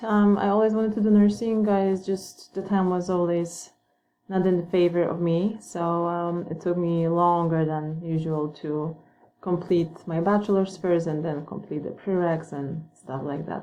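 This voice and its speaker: Speaking at a moderate pace with a Polish accent, a woman uses fairly even intonation and a fairly low pitch with a dark, mellow tone. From Poland. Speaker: nursing student. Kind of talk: self-introduction. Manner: hesitant, many fillers.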